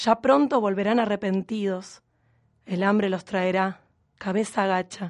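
Over a quiet background, a woman talks at a fairly slow pace with a normal speaking voice. Her pitch is medium and her intonation fairly even. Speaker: radio host. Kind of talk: scripted narration; casual chat.

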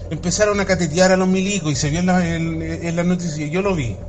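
Someone with a Chilean accent talks at a moderate pace amid noticeable background noise and audible room echo. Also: man. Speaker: caller. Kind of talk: phone-in rant.

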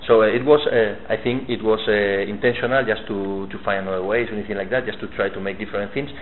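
Over noticeable background noise, a man with a Spanish accent talks at a very fast pace with hardly any pauses, his fairly low voice keeping fairly even intonation. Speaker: metal magazine interviewer. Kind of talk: interview. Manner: halting.

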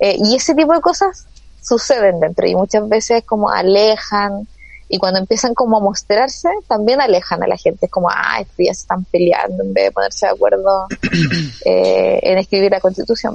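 With a Chilean accent, a woman speaks at a moderate pace. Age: 30s. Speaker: constitutional convention member. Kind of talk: casual interview.

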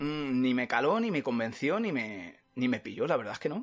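His pitch swings very widely from a fairly high starting point. The man keeps a moderate pace. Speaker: podcast host. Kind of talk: casual chat. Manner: animated.

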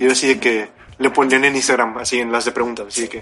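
Music plays in the background. Over it, a man is talking. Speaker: podcast co-host. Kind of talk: casual chat.

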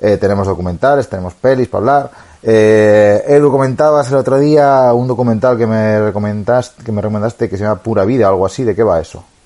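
A man talks, and his pitch shifts in an ordinary way. The tone of his voice is dark and mellow. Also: medium pitch for a man, fairly quick pace. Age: 30s. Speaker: podcast co-host, amateur cyclist. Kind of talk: casual chat.

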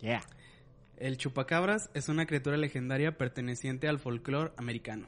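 With a Mexican accent, a man talks at a fairly quick pace, his medium pitch showing ordinary variation. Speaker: podcast co-host. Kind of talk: reading aloud; casual chat.

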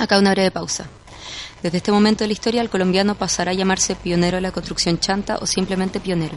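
A woman speaks very fast at a medium pitch with flat, monotone intonation. Noticeable background noise runs underneath. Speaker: podcast narrator. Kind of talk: scripted narration.

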